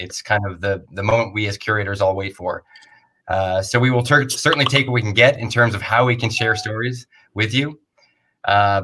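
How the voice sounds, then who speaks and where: Noticeable background noise runs through the clip. A man speaks at a moderate pace. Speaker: festival organizer host. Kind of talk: event introduction speech. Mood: warm, grateful.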